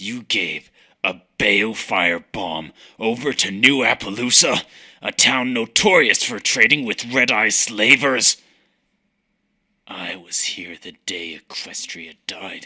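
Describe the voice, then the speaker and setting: Speaking fairly slowly, a man uses a put-on character voice at a medium pitch. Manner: grave, solemn.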